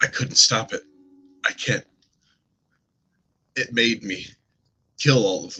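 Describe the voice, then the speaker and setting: Speaking at a fairly slow pace with long, frequent pauses, a man uses a put-on character voice. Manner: anguished, pained.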